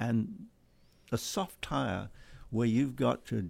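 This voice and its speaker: Speaking at a very slow pace with an English accent, a man with a medium pitch shows ordinary pitch variation on a very clean recording with a silent background. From England. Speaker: racing club executive and driving instructor. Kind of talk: casual chat.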